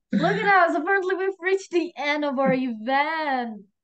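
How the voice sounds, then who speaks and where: A woman speaks with a high pitch. Her voice makes very wide pitch swings. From Indonesia. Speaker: event host. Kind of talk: casual chat; closing remarks of online class. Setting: video call.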